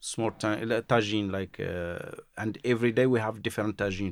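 The very clean recording, with a silent background, captures fairly even intonation. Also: man. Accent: Moroccan. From Morocco, Marrakesh. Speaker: chef. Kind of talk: interview. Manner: halting.

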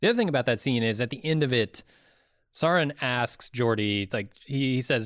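On a very clean recording with a silent background, a man with a plain, everyday voice speaks at a fairly quick pace, his medium pitch showing ordinary variation. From US (California, then Indiana). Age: 30s. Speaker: podcast co-host. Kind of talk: casual chat.

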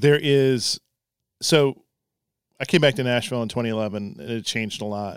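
In a dry, close recording with no echo, a man with an unremarkable speaking voice talks at a medium pitch and moderate pace with ordinary pitch variation. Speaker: newspaper editor. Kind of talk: casual chat. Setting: studio.

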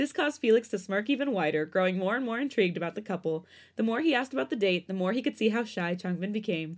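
The intonation stays lively. It comes from someone reading aloud in a natural voice.

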